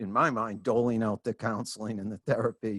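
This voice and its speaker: A man's fairly low, plain, everyday voice with an American accent, moderate pace, and a dry, close sound with no echo. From Franklin, Massachusetts. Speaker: podcast host. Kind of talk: interview question.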